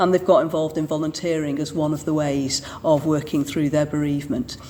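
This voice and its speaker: The voice has a Manchester accent and a fairly quick pace with monotone, flat intonation. Noticeable background noise is present. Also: woman. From Manchester, England. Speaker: Church of England vicar. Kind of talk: interview answer.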